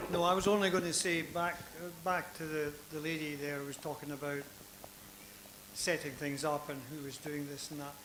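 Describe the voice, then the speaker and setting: The speech has a moderate pace, fairly even intonation, and big swings in loudness. Audible room echo and noticeable background noise are present. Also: man, fairly high pitch for a man. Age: old. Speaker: audience member, retired accountant. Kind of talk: audience comment at panel.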